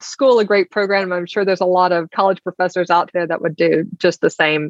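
Speaking with an Alabama accent, a woman keeps a moderate pace. Her pitch is medium and her intonation fairly even. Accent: Southern US (Alabama). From US South, Alabama. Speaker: insurance executive. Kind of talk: interview conversation.

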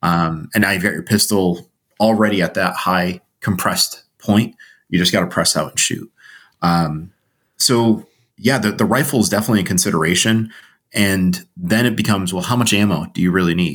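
In a plain, everyday voice, a man speaks with an American accent at a moderate pace. His pitch is fairly low, with ordinary pitch variation. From Connecticut, US. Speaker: survival instructor. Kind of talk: casual interview.

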